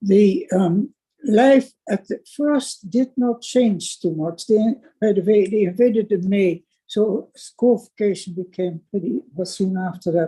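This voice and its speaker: With a Dutch accent, a woman speaks at a fairly slow pace in a medium-pitched, somewhat breathy voice of dark, mellow tone and ordinary pitch variation. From Netherlands, Amsterdam. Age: 90s. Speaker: Holocaust survivor. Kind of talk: testimony.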